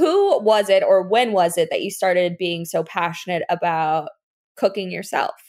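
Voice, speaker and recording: In a very clean recording with a silent background, a woman speaks at a moderate pace. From US South, Fort Lauderdale area, Florida. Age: 20s. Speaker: podcast host. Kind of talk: scripted intro; casual chat. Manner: laughs often.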